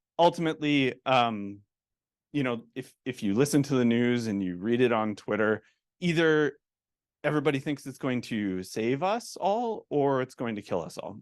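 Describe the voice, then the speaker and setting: A man with a Canadian accent, an unremarkable speaking voice at medium pitch, lively intonation and a moderate pace over a quiet background. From Calgary, western Canada. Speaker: technology executive and conference speaker. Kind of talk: conference talk. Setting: stage with audience. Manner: casual, many fillers.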